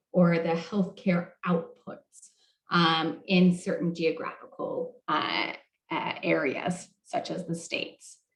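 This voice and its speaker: A woman speaks at a fairly slow pace and medium pitch. Hers is a plain, everyday voice. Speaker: health policy moderator. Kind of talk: roundtable presentation.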